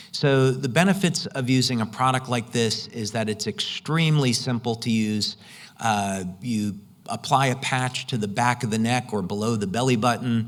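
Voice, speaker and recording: This is an unremarkable speaking voice, a man's, at a moderate pace. The pitch sits in the middle and shifts in an ordinary way. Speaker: conference presenter on light therapy product. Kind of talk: conference presentation.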